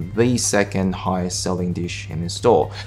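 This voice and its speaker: A man speaks with fairly even intonation. Faint music plays in the background. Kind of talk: tutorial. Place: kitchen.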